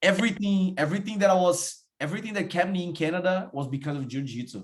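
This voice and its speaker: A man with a Portuguese accent talks at a very fast pace. His voice is somewhat breathy, with lively intonation. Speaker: podcast host. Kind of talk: casual interview chat.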